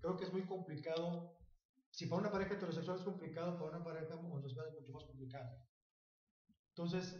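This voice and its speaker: In a room with audible echo, a man speaks at a high pitch with ordinary variation in tone. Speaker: comedian. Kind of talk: casual chat.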